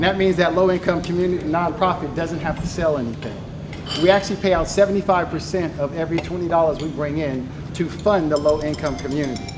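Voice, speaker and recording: Loud, very fast speech with fairly even intonation, audible room echo and noticeable background noise. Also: man, high pitch for a man. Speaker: nonprofit gaming league founder. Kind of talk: presentation.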